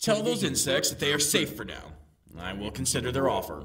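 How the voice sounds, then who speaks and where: Using a put-on character voice, a man speaks in a fairly low pitch at a fairly quick pace with very wide pitch swings and audible echo. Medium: audio drama. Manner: imperious, domineering.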